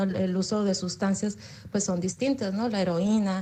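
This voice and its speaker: A woman's somewhat breathy, dark and mellow voice at medium pitch, with fairly even intonation. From Baja California, Mexico. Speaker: psychology graduate student. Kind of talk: audience question in online talk. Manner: halting, many fillers.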